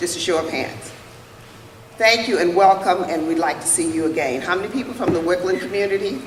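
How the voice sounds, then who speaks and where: A woman speaks at a fairly quick pace with a fairly low pitch and ordinary pitch variation, over noticeable background noise and audible room echo. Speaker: district board vice president. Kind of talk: public meeting address. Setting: school meeting room with audience.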